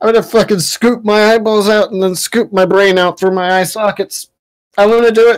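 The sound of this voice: The clip features an unforced reading voice with fairly even intonation against a quiet background.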